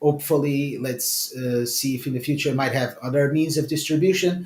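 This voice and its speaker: A man speaks with a Portuguese accent. His voice is somewhat breathy and fairly high in pitch. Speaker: author. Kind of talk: interview. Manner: hesitant, with many fillers and repetitions.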